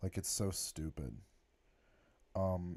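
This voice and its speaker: A man speaks with a very deep, low pitch and a dark, mellow tone. The recording is very clean, with a silent background. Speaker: YouTuber. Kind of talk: live stream commentary. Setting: live stream. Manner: halting.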